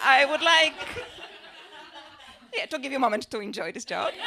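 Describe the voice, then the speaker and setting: A woman's raised, projected voice, high-pitched with lively intonation and a Polish accent, against noticeable background noise. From Poland. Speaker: stand-up comedian and social researcher. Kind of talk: stand-up.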